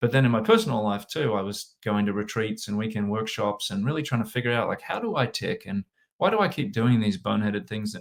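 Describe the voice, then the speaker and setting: With an Australian accent, a man rattles along at a very fast pace with hardly any pauses, his medium pitch showing ordinary variation on a very clean recording with a silent background. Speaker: sales and leadership consultant. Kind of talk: interview.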